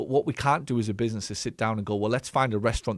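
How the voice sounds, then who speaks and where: With an English accent, a man talks very fast in a fairly low voice with ordinary pitch variation, on a very clean recording with a silent background. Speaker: business coach and former physio clinic owner. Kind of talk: live stream Q&A commentary. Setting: live stream. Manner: direct.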